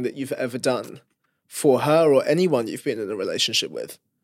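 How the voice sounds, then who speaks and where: A man's fairly high-pitched voice proceeds at a moderate pace. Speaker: interviewer and journalist. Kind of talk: interview. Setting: studio. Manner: direct.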